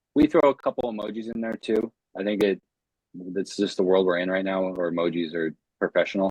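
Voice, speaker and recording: With a very deep, low pitch, a man speaks at a fairly quick pace and keeps his intonation fairly even. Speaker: short-term rental coach. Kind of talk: live webinar Q&A. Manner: fast; casual.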